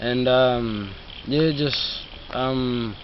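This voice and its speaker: Fairly even intonation and a medium pitch define this man's voice, heard through audible room echo and noticeable background noise. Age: young. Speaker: youth program participant. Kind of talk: interview. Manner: halting, many fillers.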